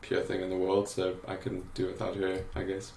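A man is speaking. Room echo is audible. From South Africa, Cape Town. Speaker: graphic designer and creative director. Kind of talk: interview conversation. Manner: hesitant, many fillers.

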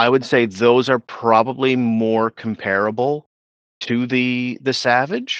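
In a dry, close sound with no echo, a man talks very slowly at medium pitch with monotone, flat intonation. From Nova Scotia, Canada (Pictou County). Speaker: motorcycle rider and hobby mechanic. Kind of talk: casual chat.

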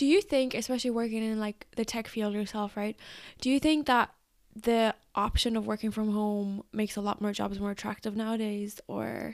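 A woman with an ordinary speaking voice talks at a moderate pace in a fairly high pitch with fairly even intonation, in a very clean recording with a silent background. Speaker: podcast co-host. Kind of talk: casual chat.

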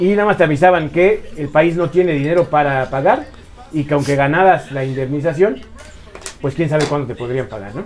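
Noticeable background noise sits under a man talking at a moderate pace. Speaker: podcast co-host. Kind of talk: casual chat.

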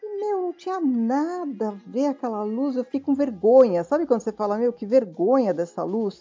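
Music plays behind a woman speaking at a moderate pace with hardly any pauses. Her high voice moves through very wide pitch swings. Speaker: film director. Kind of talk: casual chat.

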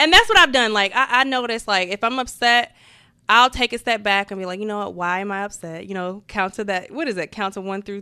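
A woman with an American accent speaks at a very fast pace in a bright, sharp tone, at a medium pitch with ordinary pitch variation. Her loudness swings widely, and the recording is very clean with a silent background. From New Jersey. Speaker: podcast co-host. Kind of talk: casual chat.

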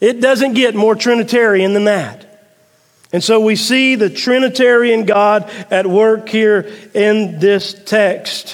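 Speaking very slowly in a Southern US accent, a man talks at a high pitch with fairly even intonation. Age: 40s. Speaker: pastor. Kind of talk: sermon. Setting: church.

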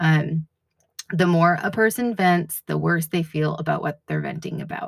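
A woman's very deep, low, somewhat breathy voice at a fairly slow pace. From New England. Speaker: podcast host. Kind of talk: solo podcast monologue, devotional reflection. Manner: casual, with many fillers.

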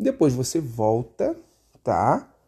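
Against a quiet background, a dark, mellow voice moves through very wide pitch swings. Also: man. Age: 20s. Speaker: podcast host. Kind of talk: casual solo commentary. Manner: halting, with repeated filler words.

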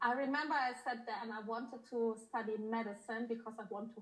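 A woman speaks over noticeable background noise. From Germany, born in Poland. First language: Polish or German. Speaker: intimacy coach. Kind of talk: casual interview.

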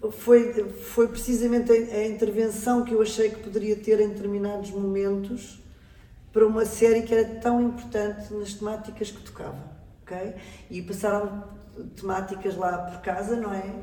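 Amid noticeable background noise and audible room echo, a woman speaks at a moderate pace and fairly high pitch, flat and monotone in intonation, with big swings in loudness. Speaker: actress and acting coach. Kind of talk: interview.

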